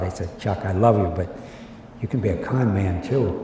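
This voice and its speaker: Against noticeable background noise and audible room echo, a man talks at a moderate pace in a fairly low pitch with fairly even intonation. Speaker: baseball executive. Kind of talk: interview storytelling. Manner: halting, repeats words.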